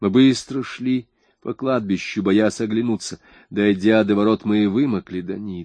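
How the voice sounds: A natural reading voice with ordinary pitch variation and a quiet background.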